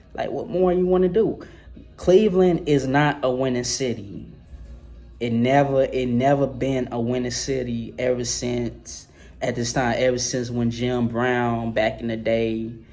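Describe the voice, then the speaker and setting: Audible room echo surrounds a man who speaks at a fairly slow pace in a medium-pitched voice with a dark, mellow tone and ordinary pitch variation. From New Orleans, Louisiana. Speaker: sports vlogger. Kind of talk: casual monologue vlog. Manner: slurred; halting, repetitive.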